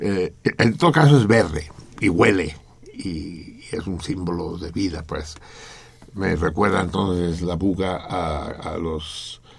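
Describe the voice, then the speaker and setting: A man with a very deep, low voice speaks at a very slow pace, his loudness swinging widely while his pitch varies in an ordinary way. Room echo is audible, and background noise is noticeable. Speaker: radio host. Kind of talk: casual chat.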